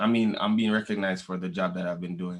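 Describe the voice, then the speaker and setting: With a strong Jamaican accent, a man talks at a fairly quick pace in a monotone, flat intonation. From Jamaica, moved to Canada as a child in the 1990s. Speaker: reggae/dancehall musician. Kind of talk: interview. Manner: casual, repetitive stammering.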